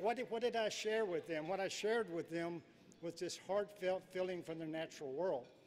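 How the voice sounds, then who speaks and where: A man's high-pitched voice moves at a fairly quick pace and shows ordinary pitch variation. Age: 70s. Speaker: professional angler. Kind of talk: acceptance speech. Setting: stage with audience.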